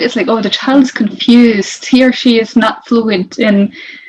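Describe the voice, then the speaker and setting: The speaker has a Norwegian accent and ordinary pitch variation. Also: woman. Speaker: interculturalist. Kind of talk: interview.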